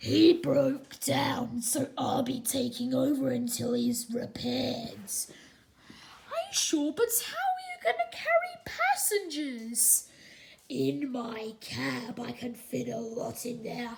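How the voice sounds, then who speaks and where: In a put-on character voice, a woman speaks fairly slowly at a high pitch, with lively intonation and big swings in loudness. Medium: read story. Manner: blustery, grumbling.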